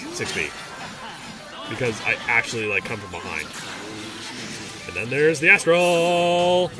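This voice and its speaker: Over music in the background, a man at a medium pitch lets his voice swing very widely up and down. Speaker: gaming commentator. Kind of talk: gameplay post-commentary. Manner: casual.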